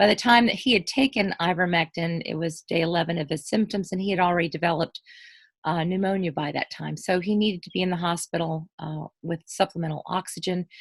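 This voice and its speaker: A woman speaks very fast in a fairly low, somewhat breathy voice with ordinary pitch variation, in a dry, close sound with no echo. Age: 60s. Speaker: guest sharing covid recovery story. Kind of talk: casual interview testimony. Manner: halting, many fillers.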